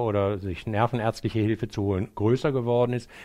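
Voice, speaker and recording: The background is quiet as a man talks with fairly even intonation and a medium pitch. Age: 60s. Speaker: psychiatrist. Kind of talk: interview. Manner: hesitant, many fillers.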